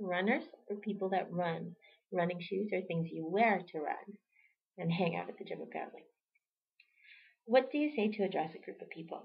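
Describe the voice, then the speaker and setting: Ordinary pitch variation runs through this somewhat breathy voice as it keeps a moderate pace. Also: woman. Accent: Canadian. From Toronto, Canada (born in El Salvador). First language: Spanish. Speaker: vlogger. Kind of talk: casual vlog, reading a word list.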